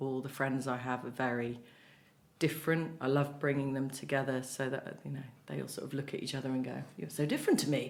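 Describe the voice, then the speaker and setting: With audible room echo, a woman with a very deep, low pitch talks at a fairly quick pace and fairly even intonation. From Merseyside, north-west England. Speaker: playwright and cancer survivor. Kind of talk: podcast interview. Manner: fast.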